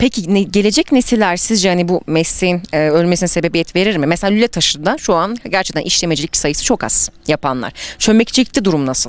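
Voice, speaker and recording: A woman talks at a fairly quick pace with hardly any pauses, using a medium pitch, lively intonation and an animated tone. The sound is dry with no echo. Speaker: reporter. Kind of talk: interview. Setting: outdoors. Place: street. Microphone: handheld.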